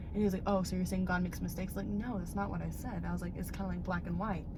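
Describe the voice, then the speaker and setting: Through audible room echo and noticeable background noise, a woman talks at a very fast pace. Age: 20s. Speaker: vlogger. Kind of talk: casual chat. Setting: outdoors. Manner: animated.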